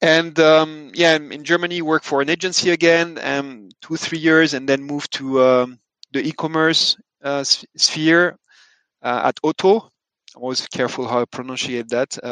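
A man's fairly high, bright, sharp voice in a French accent, at a fairly slow pace with fairly even intonation, dry and close with no echo. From France. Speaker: sustainability tech founder. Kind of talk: interview.

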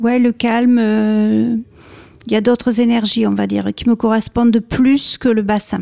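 Fairly high for a woman yet dark and mellow in tone, her voice moves at a fairly slow pace in a flat monotone, with a dry, close sound and no echo. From France, Bordeaux. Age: 50s. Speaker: painter. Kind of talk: radio interview.

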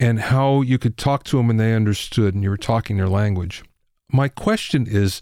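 A man with an American accent, medium pitch and a dark, mellow tone, at a moderate pace. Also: very clean recording, silent background. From Pennsylvania. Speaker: podcast host. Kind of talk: interview.

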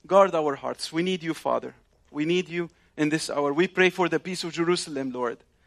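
On a very clean recording with a silent background, a man speaks with an Arabic accent at a fairly quick pace. His pitch is high for a man and his intonation fairly even. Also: dry, close sound with no echo. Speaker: visiting preacher, ministry leader. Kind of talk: sermon. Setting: congregation in synagogue, live. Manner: halting, with frequent fillers.

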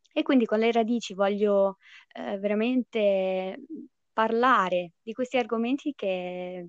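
In a quiet background, a woman speaks very slowly in a medium pitch with ordinary pitch variation, the sound dry and close with no echo. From United States and Italy. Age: 20s. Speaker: podcast host with chronic illness. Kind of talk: casual chat, podcast intro.

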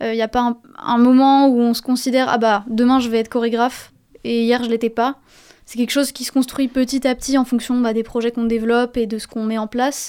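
A woman with a high pitch and a dark, mellow tone speaks at a very fast pace in a flat monotone. The recording is very clean, with a silent background. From Paris. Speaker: dance student. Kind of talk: radio interview.

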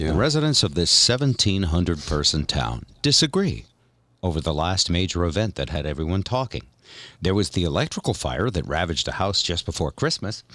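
Speaking at a fairly quick pace, this man has a very deep, low pitch with vocal fry, a bright, sharp tone and very wide pitch swings, all on a very clean recording with a silent background. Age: 60s. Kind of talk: casual chat.

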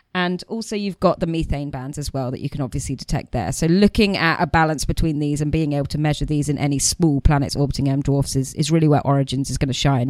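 At a fairly quick pace and with ordinary pitch variation, a speaker with a British accent sounds dry and close with no echo on a very clean recording with a silent background. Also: woman. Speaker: astronomer host. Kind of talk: casual chat.

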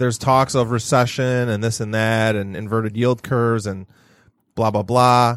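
A man talks at a moderate pace with an American accent. His intonation is monotone and flat, in a very clean recording with a silent background. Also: medium pitch for a man. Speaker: real estate agent, podcast co-host. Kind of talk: casual chat. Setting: studio.

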